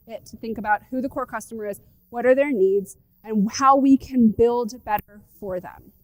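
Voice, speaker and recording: Recorded with a dry, close sound and no echo, a woman speaks in a high pitch with ordinary pitch variation. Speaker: startup founder and conference speaker. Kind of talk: conference talk. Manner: fast; animated.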